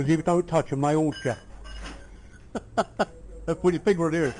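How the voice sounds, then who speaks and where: A man speaks with a dark, mellow tone at a fairly high pitch. His intonation is fairly even. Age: 80s+. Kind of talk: family reminiscence told in conversation. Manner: casual, conversational.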